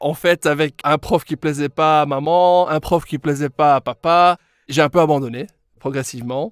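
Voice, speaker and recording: In a very clean recording with a silent background and a dry, close sound with no echo, a man with an English accent speaks at a fairly slow pace in a fairly high pitch. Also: fairly even intonation. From Belgium, Brussels (Molenbeek). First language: English (speaking French). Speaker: English pronunciation coach, former speech therapist. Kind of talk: podcast interview.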